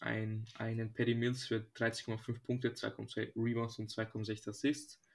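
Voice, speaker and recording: A man speaks very slowly at a medium pitch. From Serbia. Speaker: podcast co-host. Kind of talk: casual chat.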